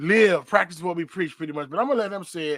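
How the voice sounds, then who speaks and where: In a very clean recording with a silent background, a man with an American accent speaks at a high pitch with ordinary pitch variation. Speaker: podcast host. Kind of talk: casual commentary.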